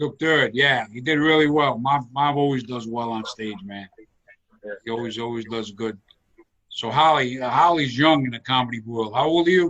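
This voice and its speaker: An unremarkable speaking voice at a moderate pace, with ordinary pitch variation and big swings in loudness. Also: man, medium pitch for a man. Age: 60s. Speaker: comedian and show host. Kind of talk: casual chat. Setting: video call.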